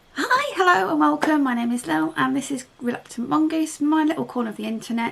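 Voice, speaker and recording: Talking at a very fast pace with very wide pitch swings, a woman with a British accent uses a high voice over noticeable background noise. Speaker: craft hobby youtuber. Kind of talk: casual unboxing tutorial chat. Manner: halting with fillers; animated, excited.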